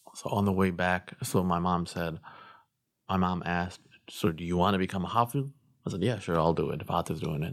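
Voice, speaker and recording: With a Chicago-area accent, a man speaks in a very deep, low pitch. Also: ordinary pitch variation, fairly quick pace. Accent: Chicago-area American English. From Chicago suburbs, Illinois. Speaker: imam. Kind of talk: casual interview.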